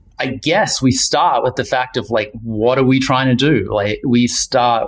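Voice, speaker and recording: Medium pitch from a man, fairly even in intonation, at a moderate pace. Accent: New Zealand. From New Zealand, Wellington. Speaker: outdoor apparel designer. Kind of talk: casual interview. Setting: video call.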